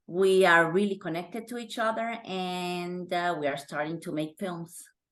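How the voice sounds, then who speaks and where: A woman with a Honduran accent speaks at a fairly slow pace and medium pitch, her bright, sharp tone showing ordinary pitch variation. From Honduras. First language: Spanish. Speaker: actress. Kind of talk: interview.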